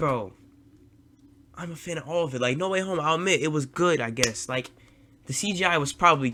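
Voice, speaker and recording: Speaking at a fairly quick pace but with long, frequent pauses, a man with a fairly high voice uses an animated tone and ordinary pitch variation. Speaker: streamer reacting to videos. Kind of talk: reaction commentary. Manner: loud.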